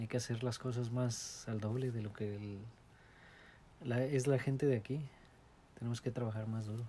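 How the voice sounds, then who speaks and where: The voice is somewhat breathy with a dark, mellow tone and monotone, flat intonation. It moves at a moderate pace, broken by long, frequent pauses. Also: man, medium pitch for a man. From Morelos, Mexico. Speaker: immigrant interviewee. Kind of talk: interview. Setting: at home.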